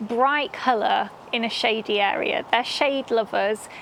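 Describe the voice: A woman speaks at a slow pace with a fairly high pitch, a fairly bright tone, vocal fry and ordinary pitch variation over faint background noise.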